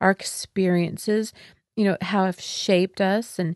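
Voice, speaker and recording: The recording is dry and close with no echo as a woman with a medium-pitched, plain, everyday voice speaks at a fairly slow pace. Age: 50s. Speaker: wellness podcast host and former yoga teacher trainer. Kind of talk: spiritual teaching monologue. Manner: warm and upbeat.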